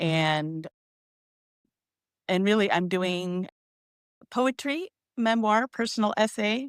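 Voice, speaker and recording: The delivery is very slow, with long, frequent pauses and lively intonation. The sound is dry and close, with no echo. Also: woman, medium pitch for a woman. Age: 50s. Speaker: poet and memoir writer. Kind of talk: casual livestream chat.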